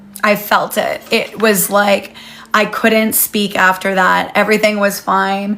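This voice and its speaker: A woman's monotone, flat intonation comes at a fairly slow pace, with noticeable background noise behind her. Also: very even loudness. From Canada. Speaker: life coach and retreat host. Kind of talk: live session with story time.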